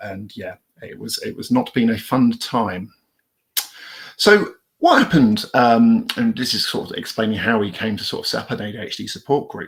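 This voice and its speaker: Speaking with a British accent, a man talks at a moderate pace. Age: 40s. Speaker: police officer and ADHD charity trustee. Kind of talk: conference talk. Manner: hesitant, many fillers.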